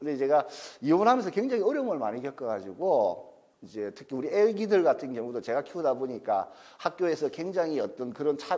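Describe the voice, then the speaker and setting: A man speaks at a high pitch with very wide pitch swings. His pace is fairly quick. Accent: Gyeongsang. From South Gyeongsang, Masan. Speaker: divorce counselor and lecturer. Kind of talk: lecture. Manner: casual, conversational.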